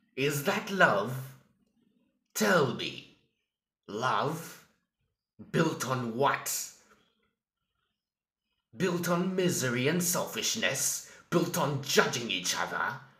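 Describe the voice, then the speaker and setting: A man's put-on, raspy character voice, fairly high in pitch and menacing in tone, at a very slow pace with long, frequent pauses. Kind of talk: villain monologue. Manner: slow, menacing.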